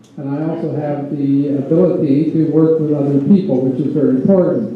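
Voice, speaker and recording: Noticeable background noise and audible room echo surround this recording of a man. His pitch is fairly high, his pace moderate and his intonation fairly even. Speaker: election candidate. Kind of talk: candidates debate.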